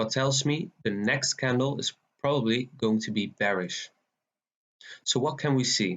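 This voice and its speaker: A man with a Dutch accent speaks at a medium pitch and a fairly slow pace, leaving long, frequent pauses. His loudness stays very even, with ordinary pitch variation. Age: 20s. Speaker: forex trader. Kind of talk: tutorial.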